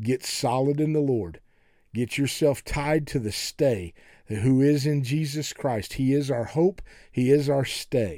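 A man's fairly high-pitched voice with a dark, mellow tone, ordinary pitch variation and a fairly slow pace, in a very clean recording with a silent background. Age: 60s. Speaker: pastor and podcast host. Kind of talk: sermon-style podcast monologue. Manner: folksy, conversational.

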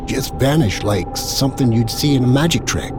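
With noticeable background noise behind him, a man speaks at a moderate pace, his medium pitch varying in an ordinary way. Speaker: horror story narrator, former police officer persona. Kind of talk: horror story narration, first person, scripted-style storytelling.

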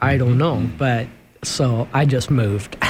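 Against noticeable background noise, a man with a Midwestern US accent speaks at medium pitch with ordinary pitch variation. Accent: US Midwest. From Sioux City, Iowa. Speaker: friend of guest. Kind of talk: casual chat.

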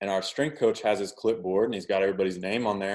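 A man with an American accent has an ordinary speaking voice. His pitch is fairly low and his pace fairly quick. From Oklahoma. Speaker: professional baseball pitcher. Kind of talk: casual interview.

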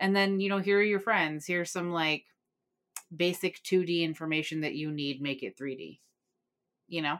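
A woman speaks at a moderate pace with long, frequent pauses, her fairly low pitch moving with ordinary variation on a very clean recording with a silent background. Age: 30s. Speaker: horror podcast host. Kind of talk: casual chat.

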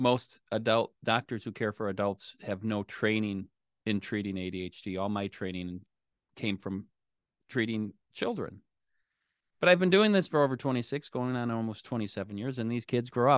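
A man's ordinary speaking voice with an American accent, medium pitch, ordinary pitch variation, a moderate pace and a quiet background. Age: 50s. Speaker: physician. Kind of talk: interview.

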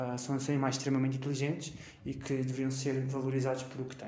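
A man with a European Portuguese accent speaks fairly quickly in a medium pitch, his dark, mellow tone flat and monotone amid audible room echo. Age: 20s. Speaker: podcast host, university student. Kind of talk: solo educational podcast monologue. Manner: hesitant, with fillers.

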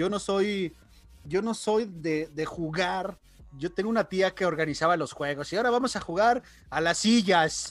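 Fairly slow delivery with ordinary pitch variation, on a very clean recording against a silent background. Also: man, high pitch for a man. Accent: Mexican. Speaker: podcast co-host. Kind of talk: casual chat.

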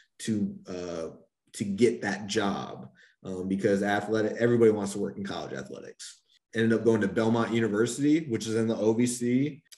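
A man with an American accent has an ordinary speaking voice. His pitch is fairly low. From North Carolina. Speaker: college athletics compliance officer. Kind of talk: casual interview.

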